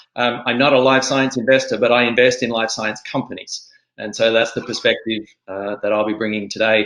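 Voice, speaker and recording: A man with an Australian accent speaks at a fairly quick pace, his pitch medium and his intonation fairly even. His tone is bright and sharp, and the background is quiet. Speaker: angel investor. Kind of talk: panel discussion.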